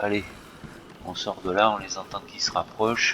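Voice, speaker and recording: Against noticeable background noise, a man with a fairly low voice talks at a fairly slow pace with fairly even intonation. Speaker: gaming streamer. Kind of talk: gameplay commentary.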